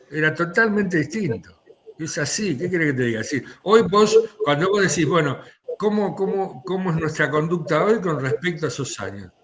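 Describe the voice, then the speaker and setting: Here a man with an Argentine accent speaks at a high pitch. His intonation is lively and his pace moderate. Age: 70s. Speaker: political commentator. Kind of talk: political discussion.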